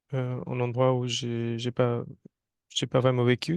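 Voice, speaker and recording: The sound is dry and close with no echo as a man speaks at a fairly slow pace in a Hindi accent. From North India (Rajasthan). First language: Hindi (speaking French). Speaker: environmental engineer and Hindi teacher. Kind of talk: interview. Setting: studio. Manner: halting, many hesitations.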